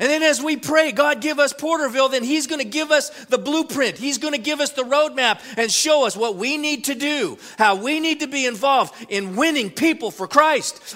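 In a raised, projected voice of extremely high pitch, a man talks at a moderate pace with hardly any pauses over noticeable background noise. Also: ordinary pitch variation. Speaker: pastor. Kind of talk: sermon. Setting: church. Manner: fervent, rousing, preacherly call-and-response; earnest, emphatic, repeating lines.

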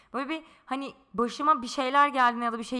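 A woman with a high pitch and a bright, sharp tone speaks. Her pace is fairly quick. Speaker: podcast co-host. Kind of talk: casual chat. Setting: in-person shared microphone.

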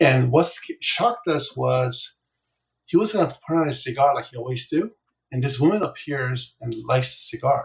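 A man speaks at a fairly high pitch, somewhat breathy. His intonation is lively, with big swings in loudness. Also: moderate pace. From South Korea, moved to US at nine. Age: 60s. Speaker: business coach. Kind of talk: interview. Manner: gentle; halting.

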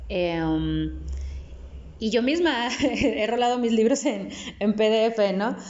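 Amid noticeable background noise and audible room echo, a woman speaks very slowly in a fairly high voice with lively intonation and long, frequent pauses. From Mexico, Nuevo León (Apodaca). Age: 30s. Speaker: poet. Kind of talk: interview. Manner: halting, with many repetitions and fillers.

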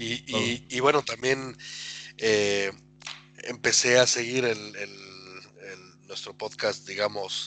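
A man talks at a very slow pace in a medium pitch, with fairly even intonation and big swings in loudness. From Mexico (Atlixco, Puebla). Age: 40s. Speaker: football fan, podcast guest. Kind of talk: casual chat.

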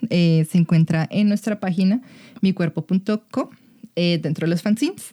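A woman speaks at a moderate pace and medium pitch with ordinary pitch variation, somewhat breathy, with a dark, mellow tone. Her loudness is very even, and the sound is dry and close with no echo. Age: 20s. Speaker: sex educator. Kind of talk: casual chat.

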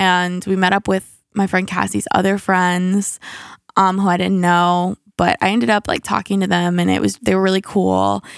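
Animated in tone and at a moderate pace, the voice comes through dry and close with no echo on a very clean recording with a silent background. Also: woman. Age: 20s. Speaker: podcast co-host. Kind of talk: casual chat. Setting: home basement.

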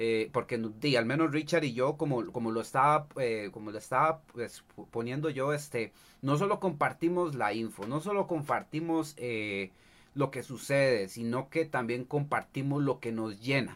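At a fairly slow pace, a man with a medium pitch and ordinary pitch variation speaks with a Costa Rican accent. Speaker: streamer and cosplayer. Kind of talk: casual chat. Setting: livestream.

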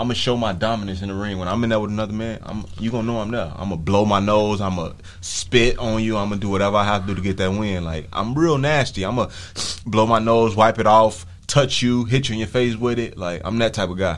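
With audible room echo, a man talks at a very fast pace. His pitch is fairly low. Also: ordinary pitch variation. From Chicago. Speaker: professional boxer. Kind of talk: casual interview. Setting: radio studio.

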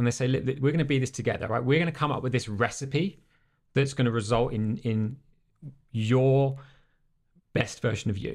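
With an English accent, the speaker talks at a fairly quick pace with ordinary pitch variation, on a very clean recording with a silent background. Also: man. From England. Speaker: life and business coach. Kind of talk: casual interview. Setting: studio.

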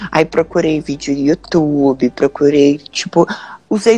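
At a moderate pace, the speaker talks with music in the background. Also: woman. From Londrina, Paraná, southern Brazil. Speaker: jiu-jitsu athlete. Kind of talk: interview on a live stream. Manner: casual, with frequent fillers.

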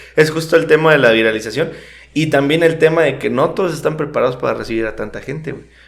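Very fast speech from a man at a fairly high pitch, with ordinary pitch variation, big swings in loudness and audible room echo. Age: 20s. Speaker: podcast co-host. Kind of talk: casual chat.

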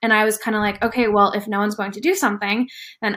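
Over a silent background in a very clean recording, a woman with a normal speaking voice talks at a fairly high pitch with ordinary pitch variation. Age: 20s. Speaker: entrepreneur and startup advisor. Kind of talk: casual interview conversation.

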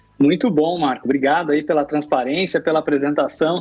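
With an ordinary speaking voice, a man keeps a fairly high pitch and fairly even intonation. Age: 30s. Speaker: podcast host. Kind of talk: interview.

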